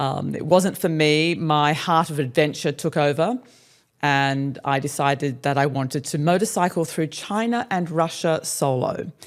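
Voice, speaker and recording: With an Australian accent, a woman talks at a moderate pace in a very deep, low pitch, her pitch varying in an ordinary way. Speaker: relocation business owner and podcast co-host. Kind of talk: casual interview chat.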